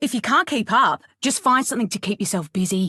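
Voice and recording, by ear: A female-sounding, put-on character voice with an Australian accent runs at a fairly quick pace, fairly high in pitch, over a quiet background.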